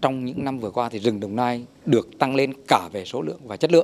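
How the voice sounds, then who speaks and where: A man speaks at a very fast pace. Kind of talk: interview answer. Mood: friendly, smiling. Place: forest. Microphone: handheld.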